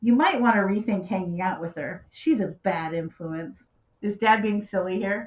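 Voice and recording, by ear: With pitch that shifts in an ordinary way, a passage is read aloud in a natural voice.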